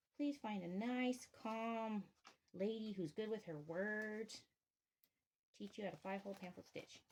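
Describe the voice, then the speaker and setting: A woman talks at a fairly slow pace and a fairly high pitch, with ordinary pitch variation and long, frequent pauses. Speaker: bookbinder. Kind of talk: craft demonstration. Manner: halting.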